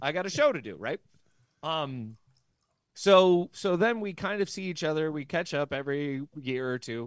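With a plain, everyday voice, a man speaks at a fairly high pitch and moderate pace, his intonation lively, against a quiet background. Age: 30s. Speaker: podcast co-host and former stand-up comic. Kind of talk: casual chat.

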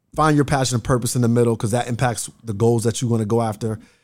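Very fast speech from a man at a medium pitch with an American accent. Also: very clean recording, silent background. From Nebraska, Bellevue (Omaha suburb). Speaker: trauma healing coach. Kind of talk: casual interview conversation. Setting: studio.

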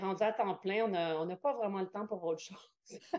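This woman speaks with a Quebec accent. Her pitch sits in the medium range. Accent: Québécois French. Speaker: yoga teacher and entrepreneur. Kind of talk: interview.

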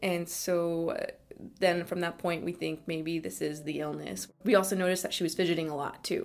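A woman with an American accent talks at a moderate pace. Her pitch is fairly low and her intonation is monotone and flat. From California, East Bay. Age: 20s. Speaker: interviewee, family member of a patient. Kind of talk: personal interview testimony. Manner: halting, with fillers and repeats.

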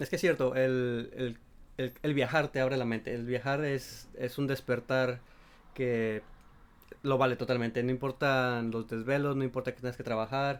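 This man talks at a moderate pace with a medium pitch and a monotone, flat intonation. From Mexico, La Paz, Baja California Sur. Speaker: podcast co-host. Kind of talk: casual chat.

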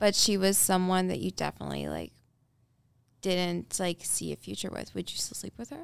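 A woman's loudness swings widely as she talks at a moderate speed. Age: 20s. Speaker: guest. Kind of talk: heated debate.

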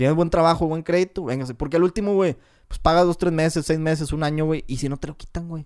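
The speaker talks at a very fast pace. The intonation stays fairly even. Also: man, fairly high pitch for a man. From northern Mexico, Cadereyta, Nuevo León. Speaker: manufacturing engineer. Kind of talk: casual chat.

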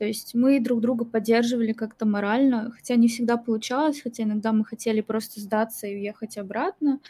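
A woman with a plain, everyday voice speaks in a fairly high pitch with fairly even intonation on a very clean recording with a silent background. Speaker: guest, blogger and singer.

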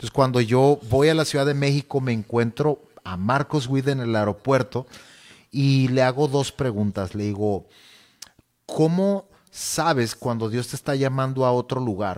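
A man's plain, everyday voice, medium in pitch with ordinary variation, at a fairly slow pace. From Mexico, Sonora (Nogales). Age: 30s. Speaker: singer and youth church leader. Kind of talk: casual interview.

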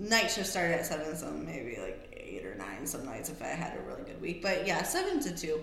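A woman speaks at a moderate pace. Audible room echo and noticeable background noise surround her voice. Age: 30s. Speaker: podcast co-host, former stripper and bartender. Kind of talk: casual chat.

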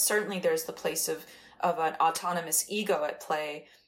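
A woman with an unremarkable speaking voice talks at a moderate pace, her fairly low pitch staying fairly even in intonation. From Iran, moved to the US as a child. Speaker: artist and writer. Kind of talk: casual interview.

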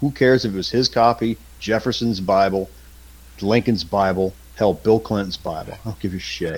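At a fairly quick pace, a man talks in a medium pitch with an unremarkable speaking voice. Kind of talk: casual banter with swearing.

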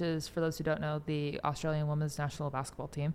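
This woman speaks with a Californian accent. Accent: Californian American. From US West Coast, San Francisco Bay Area. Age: 20s. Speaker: PhD researcher. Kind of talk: interview. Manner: casual, filler-heavy.

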